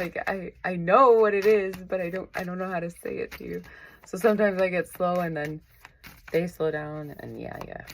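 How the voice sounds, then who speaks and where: Speaking at a moderate pace, a woman has an unremarkable speaking voice at a medium pitch with fairly even intonation. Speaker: tarot reader. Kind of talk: tarot reading.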